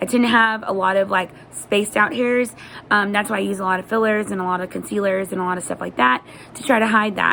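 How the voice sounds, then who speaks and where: A woman talking at a very fast pace, ordinary pitch variation, noticeable background noise behind her. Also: medium pitch for a woman. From Texas. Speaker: beauty vlogger. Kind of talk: tutorial. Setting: at home. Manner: casual.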